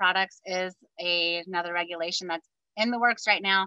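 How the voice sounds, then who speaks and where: The voice has a bright, sharp tone at a moderate pace, recorded dry and close with no echo. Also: woman. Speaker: public health educator. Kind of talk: presentation with Q&A.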